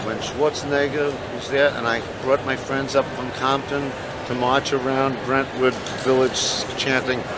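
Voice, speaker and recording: A man speaks fairly slowly while noticeable background noise runs underneath. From New York, Brooklyn. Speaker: rally attendee, environmental activist. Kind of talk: street interview.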